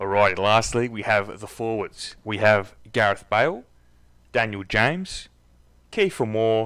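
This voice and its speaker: A man speaks fairly slowly with a strong Australian accent, a medium pitch and ordinary pitch variation. The recording is very clean, with a silent background. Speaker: football commentary youtuber. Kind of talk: casual vlog commentary. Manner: casual with many fillers.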